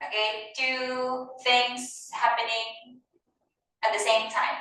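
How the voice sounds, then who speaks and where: Audible room echo surrounds a woman who talks very slowly. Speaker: ESL teacher. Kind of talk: classroom lesson.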